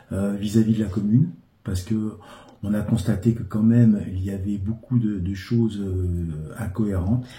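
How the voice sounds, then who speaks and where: A dark, mellow tone, somewhat breathy. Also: man, fairly low pitch for a man, moderate pace. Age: 60s. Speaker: local election candidate. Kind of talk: interview. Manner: hesitant, frequent filler sounds.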